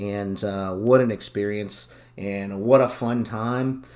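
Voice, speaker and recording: With an American accent, a man speaks in a fairly low pitch and fairly even intonation. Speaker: football podcast host. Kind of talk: casual podcast monologue. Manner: filler-heavy, hesitant.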